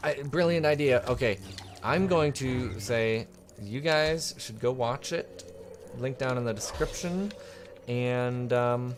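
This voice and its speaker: A man talks at a fairly slow pace, leaving long, frequent pauses, with noticeable background noise behind him. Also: medium pitch for a man, ordinary pitch variation. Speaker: gaming commentator. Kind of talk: gameplay commentary. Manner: casual, halting with repetitions.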